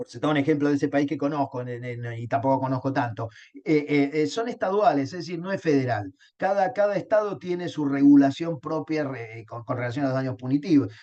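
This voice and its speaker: Speaking at a fairly quick pace, a man uses a fairly high voice with a dark, mellow tone and ordinary pitch variation. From Argentina, Río de la Plata. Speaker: law lecturer. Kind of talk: lecture. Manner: halting, many fillers and repetitions.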